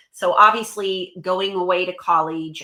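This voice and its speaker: On a very clean recording with a silent background, a woman speaks in a bright, sharp tone at a fairly low pitch. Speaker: motivational speaker and happiness coach. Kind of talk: interview. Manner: fast; animated.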